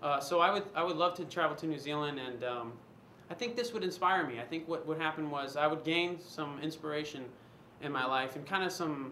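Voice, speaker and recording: With an American accent, a man speaks fairly quickly at a fairly high pitch. The recording carries noticeable background noise and audible room echo. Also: ordinary pitch variation. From US West Coast, San Diego, California. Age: 20s. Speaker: casting applicant, personal trainer. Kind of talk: casting audition monologue. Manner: halting, many fillers.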